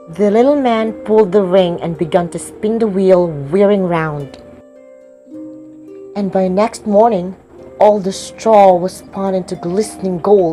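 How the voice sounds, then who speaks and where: A woman talks at a fairly slow pace with a medium pitch and ordinary pitch variation. Music plays in the background. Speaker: student audiobook narrator. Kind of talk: storybook narration.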